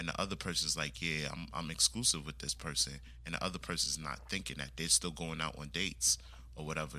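The voice has a bright, sharp tone with vocal fry and ordinary pitch variation. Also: man. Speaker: podcaster guest. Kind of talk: casual chat.

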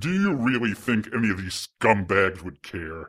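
A man's put-on character voice, growling at a fairly low pitch and a moderate pace, on a very clean recording with a silent background. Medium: audio drama. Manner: menacing, gloating.

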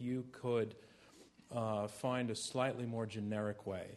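The clip has an ordinary speaking voice with fairly even intonation. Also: man. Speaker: debate moderator. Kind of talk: moderated public debate. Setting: stage with audience. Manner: formal.

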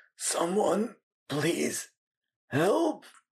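A raspy, put-on character voice sits at a middle pitch. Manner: pleading.

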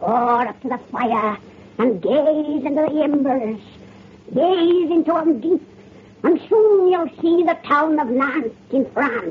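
Someone uses a put-on character voice, high in pitch and at a fairly slow pace. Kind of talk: 1930s radio horror host. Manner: cackling, relishing the gruesome.

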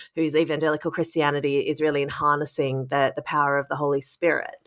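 A woman talks at a very fast pace in a very deep, low voice, keeping her intonation fairly even. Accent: Australian. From Australia. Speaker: author and journalist. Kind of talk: interview about her book.

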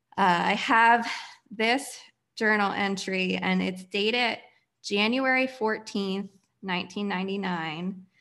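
At a fairly slow pace, a woman with an ordinary speaking voice talks at a medium pitch. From Pennsylvania. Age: 30s. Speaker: community founder. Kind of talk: personal testimony.

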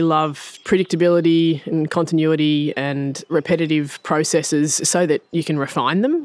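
A woman with an Australian accent and a fairly low pitch at a moderate pace, on a very clean recording with a silent background. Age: 40s. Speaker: farmer. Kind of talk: interview.

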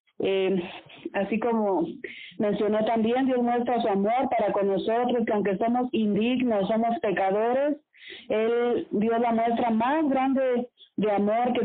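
A woman with a fairly high pitch and ordinary pitch variation speaks at a very slow pace. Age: 40s. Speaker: radio host. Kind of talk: casual chat.

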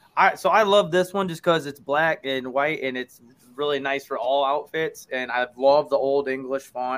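In an unremarkable speaking voice, a man speaks at a moderate pace with a fairly high pitch and ordinary pitch variation. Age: 20s. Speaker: podcast host guest. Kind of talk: casual chat.

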